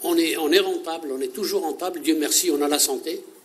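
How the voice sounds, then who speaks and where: A man at a moderate pace, with audible room echo. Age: 60s. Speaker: unemployed volunteer. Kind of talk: interview testimony. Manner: halting.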